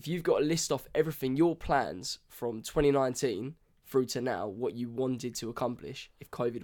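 A man with a British accent speaks at a moderate pace and a medium pitch, with ordinary pitch variation and big swings in loudness, in a very clean recording with a silent background. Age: 20s. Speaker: podcast co-host. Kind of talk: casual chat.

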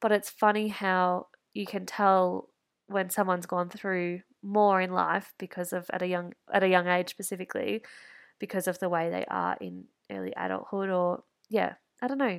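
Medium-pitched woman with an Australian accent, monotone, flat intonation, and a moderate pace, on a very clean recording with a silent background. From rural Victoria, Australia. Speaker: podcast host, interior designer. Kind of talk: casual solo monologue.

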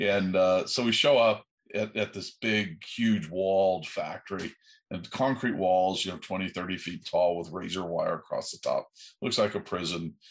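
At a moderate pace, a man speaks in an unremarkable speaking voice, fairly low in pitch with ordinary variation. The background is quiet. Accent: American. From USA. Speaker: aerospace entrepreneur. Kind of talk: interview.

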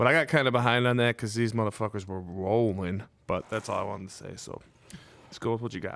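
In a normal speaking voice, a man talks at a fairly quick pace with a fairly low pitch. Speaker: podcast co-host. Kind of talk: casual chat.

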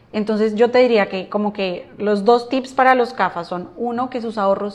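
A woman speaks in a plain, everyday voice at a fairly high pitch. Her intonation stays fairly even. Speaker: finance professional. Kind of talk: casual interview.

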